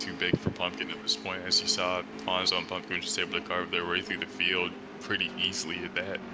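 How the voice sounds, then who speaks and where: Music plays behind a man with a very deep, low pitch. He talks at a very fast pace with very wide pitch swings. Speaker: sim racing commentator. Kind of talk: live commentary. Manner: casual.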